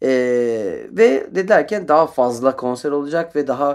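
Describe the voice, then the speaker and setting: A man with a plain, everyday voice, fairly high in pitch. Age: 40s. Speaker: guitarist. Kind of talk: radio interview. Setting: radio studio.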